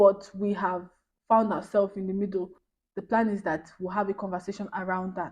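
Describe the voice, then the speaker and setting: A woman talks at a fairly quick pace and medium pitch. Her intonation is monotone and flat. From Nigeria. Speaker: YouTuber. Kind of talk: casual chat. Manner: fast.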